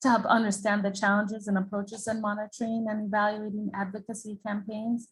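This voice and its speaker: A woman with an American accent talks at a very fast pace in a fairly high pitch, her flat, monotone delivery somewhat breathy and with hardly any pauses. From Jamaica. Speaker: international development expert. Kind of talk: presentation. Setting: video call.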